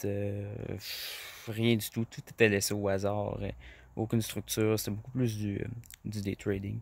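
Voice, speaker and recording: A man speaks in a flat monotone at a fairly low pitch, on a very clean recording with a silent background. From Quebec, rural farm. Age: 20s. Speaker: farmer and trading student. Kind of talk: testimony. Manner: halting, many fillers.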